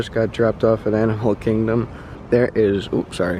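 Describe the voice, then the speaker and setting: A man speaks quietly at a medium pitch, with noticeable background noise behind him. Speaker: travel vlogger. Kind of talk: vlog narration. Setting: outdoors.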